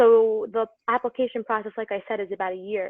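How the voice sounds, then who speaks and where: Speaking with a New York accent, a woman keeps a monotone, flat intonation at a fairly high pitch. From New York City (Brooklyn). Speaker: medical student. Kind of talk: casual chat.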